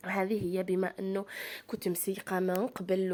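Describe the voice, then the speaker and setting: A woman speaks with an Algerian accent. The recording is very clean, with a silent background. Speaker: lifestyle vlogger. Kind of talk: vlog chat to viewers. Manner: animated.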